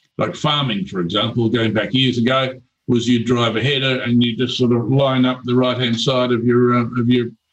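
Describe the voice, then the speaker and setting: Fairly quick in pace, a man talks at medium pitch. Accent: Australian. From rural Australia. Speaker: telecom company founder. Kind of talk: radio interview. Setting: radio studio.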